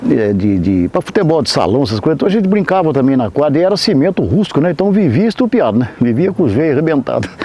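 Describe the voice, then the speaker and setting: A man's fairly high voice at a very fast pace with hardly any pauses, very wide pitch swings and very even loudness, against noticeable background noise. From Brazil, coastal São Paulo state (Caraguatatuba). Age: 70s. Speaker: musician and conductor. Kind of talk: interview storytelling. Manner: casual, with hesitations.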